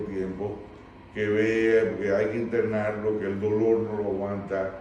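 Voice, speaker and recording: A man's fairly low, monotone, flat voice at a fairly slow pace, with noticeable background noise and audible room echo. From Dominican Republic. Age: 60s. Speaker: recovering addict sharing life story. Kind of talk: testimony.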